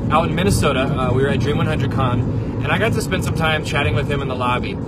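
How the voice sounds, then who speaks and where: Over loud background noise, a man speaks at a very fast pace with ordinary pitch variation. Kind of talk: casual vlog chat. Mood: warm, appreciative. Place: car. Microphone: phone near.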